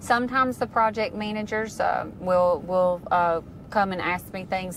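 A woman speaks with a Louisiana accent at a fairly low pitch, with light background noise. The sound is dry, with no echo. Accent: Southern US (Louisiana). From North Central Louisiana. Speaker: state highway pavement engineer. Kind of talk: casual technical interview. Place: car.

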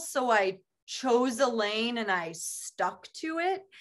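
Bright and sharp, a woman's high voice carries lively intonation. The background is quiet. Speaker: podcast co-host. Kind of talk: casual chat. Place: home room. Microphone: video call.

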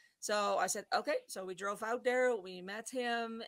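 Her pitch varying in an ordinary way, a woman speaks fairly slowly against a quiet background. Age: 60s. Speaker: pet charity group organizer; podcast guest. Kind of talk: interview. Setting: video call. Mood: warm, storytelling. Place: home room.

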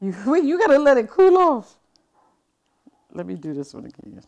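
A woman speaks at a moderate pace in a high pitch with a slightly mellow tone. Her pitch swings very widely, and vocal fry comes through.

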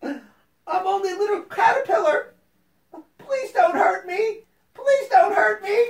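An extremely high-pitched, put-on character voice. It moves at a fairly slow pace with long, frequent pauses. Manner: pleading, timid.

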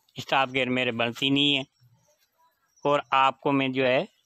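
Delivered at a fairly slow pace, the voice has a bright, sharp tone and a monotone, flat intonation, with a dry sound that has no echo and a quiet background. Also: man. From Tonk district, Rajasthan, India; Rajasthan, India. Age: 50s. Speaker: schoolteacher. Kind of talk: personal life story. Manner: halting. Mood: warm, relaxed storytelling. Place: open country. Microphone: phone near.

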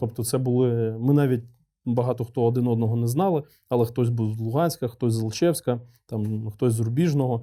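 The voice has a dark, mellow tone and a Russian accent, with fairly even intonation at a moderate pace. The recording is very clean, with a silent background. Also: man, medium pitch for a man. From eastern Ukraine, Luhansk region. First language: Russian (speaking Ukrainian). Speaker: military commander. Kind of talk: interview.

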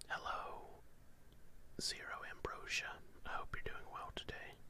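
Someone whispers, soft-spoken, at a fairly slow pace. The sound is dry with no echo, over light background noise. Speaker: live streamer. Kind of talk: counting aloud and casual chat with viewers. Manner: soft ASMR whisper greeting.

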